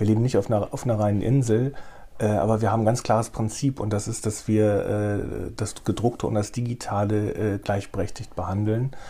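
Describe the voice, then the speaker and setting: The voice is somewhat breathy, dark and mellow in tone. It moves at a fairly quick pace with fairly even intonation. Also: man. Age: 50s. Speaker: newspaper editor-in-chief. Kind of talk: interview.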